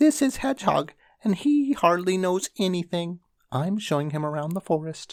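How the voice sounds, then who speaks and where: A squeaky, put-on character voice at middle pitch and moderate pace. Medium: read story. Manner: quick, chatty.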